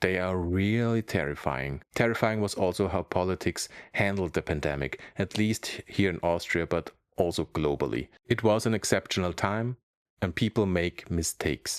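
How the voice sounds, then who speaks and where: In a German accent, a man with a very deep, low pitch speaks at a moderate pace with ordinary pitch variation, the sound dry and close with no echo on a very clean recording with a silent background. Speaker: comedian and YouTuber. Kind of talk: comedic monologue to camera.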